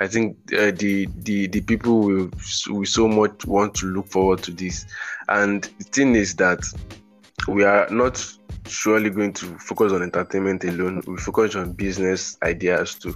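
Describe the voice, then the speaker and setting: Music plays behind a man with a fairly low pitch. He speaks fairly slowly in a flat, monotone way. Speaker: podcast host. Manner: casual, rambling.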